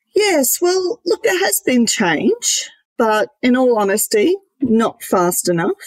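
A woman speaks very slowly at a high pitch, her pitch swinging very widely while her loudness stays very even. The sound is dry and close with no echo. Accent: Australian. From Queensland, Australia. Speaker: company CEO. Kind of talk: interview.

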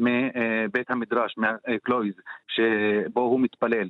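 A man with an Arabic accent talks at a medium pitch with fairly even intonation. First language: Arabic (speaking Hebrew). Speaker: poet and translator. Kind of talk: radio interview.

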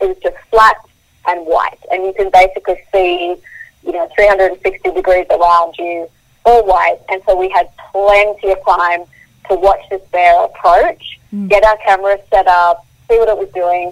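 Fairly slow, fairly even speech from a woman of medium pitch with an Australian accent. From Australia, Queensland. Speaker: wildlife photographer. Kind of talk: interview.

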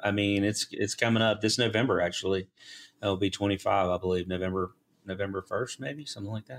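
Very fast speech in a Southern US accent, ordinary pitch variation, very clean recording, silent background. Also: man, fairly low pitch for a man. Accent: Southern US (Georgia). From US South, South Georgia. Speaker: engineering firm CEO. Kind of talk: interview.

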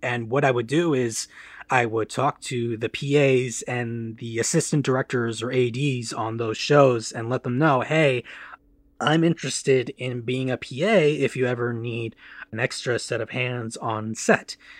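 An unremarkable speaking voice, a man with an American accent and medium pitch talks fairly slowly in a fairly even tone, the sound dry and close with no echo and a quiet background. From Michigan, US Midwest. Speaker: film production assistant. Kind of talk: interview.

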